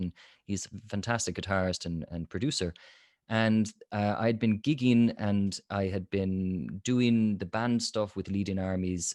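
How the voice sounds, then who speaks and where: A man with a fairly low pitch speaks at a fairly slow pace with ordinary pitch variation. The recording is very clean with a silent background and a dry, close sound with no echo. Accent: Irish. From Limerick, Ireland. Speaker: jazz singer, voice coach. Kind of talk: interview answer.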